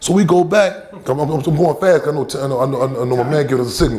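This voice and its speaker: Noticeable background noise sits behind a man with an American accent. He talks at a very fast pace with ordinary pitch variation. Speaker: activist. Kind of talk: public talk answering questions. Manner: animated, repetitive stammering.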